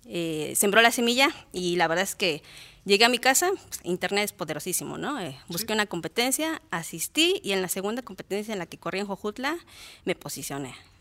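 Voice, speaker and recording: A woman's bright, sharp medium-pitched voice at a fairly quick pace, with very wide pitch swings and big swings in loudness, dry and close with no echo. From Mexico, Morelos (born in Guerrero). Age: 30s. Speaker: ultramarathon runner. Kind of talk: interview. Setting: studio.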